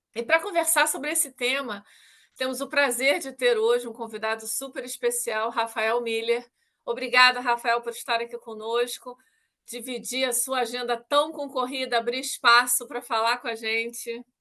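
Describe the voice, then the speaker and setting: In a Rio de Janeiro accent, a woman speaks at a moderate pace in a high-pitched voice with a bright, sharp tone. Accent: carioca. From Rio de Janeiro, Brazil. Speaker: talk show host, technology executive. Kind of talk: interview. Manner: formal.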